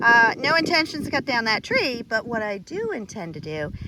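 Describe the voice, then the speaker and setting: Amid noticeable background noise, a woman speaks at a fairly high pitch with very wide pitch swings. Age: 50s. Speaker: homesteader. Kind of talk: outdoor tutorial vlog.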